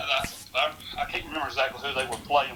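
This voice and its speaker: The speaker has a Southern US accent and a fairly quick pace. Noticeable background noise runs underneath. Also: man. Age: 60s. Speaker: sports historian. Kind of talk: podcast interview.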